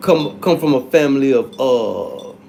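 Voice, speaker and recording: The pitch swings very widely over noticeable background noise. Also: man. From North Carolina, US South. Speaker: livestreamer. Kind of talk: casual live chat. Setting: livestream. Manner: animated.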